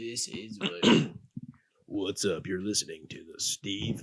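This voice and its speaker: A man puts on a character voice, fairly low in pitch, moving at a fairly slow pace with ordinary pitch variation and big swings in loudness. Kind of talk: announcer-style, smooth and upbeat.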